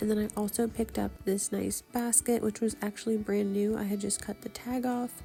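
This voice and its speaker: Music in the background behind a woman's fairly high, flat monotone voice at a fairly quick pace. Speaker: small online shop seller. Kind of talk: casual thrift haul voice-over.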